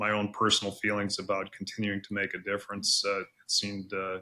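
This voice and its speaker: A man speaks at a fairly low pitch in a flat monotone. His tone is bright and sharp. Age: 60s. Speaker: veterinarian and veterinary college dean. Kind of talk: podcast interview. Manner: many fillers and repeated words.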